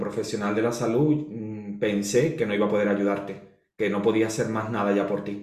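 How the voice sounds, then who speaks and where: A man of medium pitch, heard with audible room echo and noticeable background noise. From Spain. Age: 40s. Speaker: astrologer and holistic therapist. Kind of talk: interview, life story.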